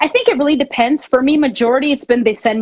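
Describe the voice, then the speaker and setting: A woman talks with a Canadian accent. Her pace is very fast. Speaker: drummer. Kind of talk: interview. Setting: Instagram live stream.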